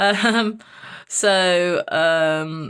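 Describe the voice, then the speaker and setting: An East Midlands accent in a very clean recording with a silent background. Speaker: vlogger. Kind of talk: casual vlog. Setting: walking outdoors. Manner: loud, chatty.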